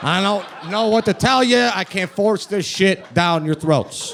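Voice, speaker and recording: A man speaks with a strong Chicago accent. Noticeable background noise is present. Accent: thick Chicago. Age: 30s. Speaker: comedian. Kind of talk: stand-up. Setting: stage with audience.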